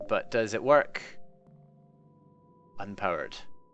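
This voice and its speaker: Over music in the background, someone with a Scottish accent speaks at a moderate pace. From Scotland. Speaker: video game streamer. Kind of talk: live gameplay stream commentary. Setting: live stream. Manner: casual, hesitant with self-corrections.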